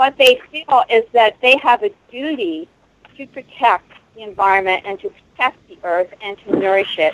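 Her loudness swings widely as this woman speaks. She keeps a moderate pace with lively intonation. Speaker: caller. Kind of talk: casual talk radio discussion. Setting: phone call.

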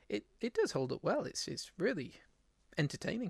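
A man talks with an English accent. The sound is dry and close, with no echo. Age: 30s. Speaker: podcast host. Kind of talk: casual chat. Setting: live stream.

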